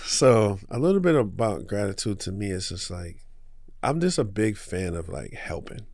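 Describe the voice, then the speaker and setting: A man with a New York accent talks at a moderate pace in a fairly low pitch, his intonation lively and his loudness swinging widely, with audible room echo. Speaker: small business owner. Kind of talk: podcast interview. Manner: casual.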